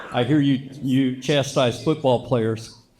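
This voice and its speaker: This man talks at a fairly slow pace in a medium pitch. Noticeable background noise runs behind him. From born in Japan to a US Navy family. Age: 60s. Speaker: Air Force veteran, son of a war survivor. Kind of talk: speech.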